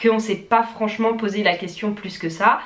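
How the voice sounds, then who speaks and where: A woman speaks at a moderate pace. Noticeable background noise is heard behind her. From France. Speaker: vlogger. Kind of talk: casual vlog talk to camera.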